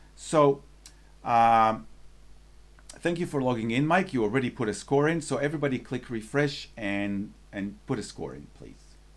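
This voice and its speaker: A man with a non-native accent, medium pitch and big swings in loudness. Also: lively intonation, moderate pace. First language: not English. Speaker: photography salon judging moderator. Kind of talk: live judging session moderation. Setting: live stream video call.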